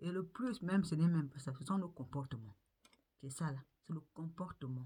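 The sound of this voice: A dark, mellow tone with a slightly husky edge. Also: woman, low pitch for a woman, ordinary pitch variation, moderate pace.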